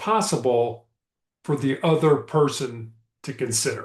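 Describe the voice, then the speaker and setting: A somewhat breathy man talks with lively intonation against a quiet background. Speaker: motivational speaker and author. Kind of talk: motivational leadership talk. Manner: slow, deliberate.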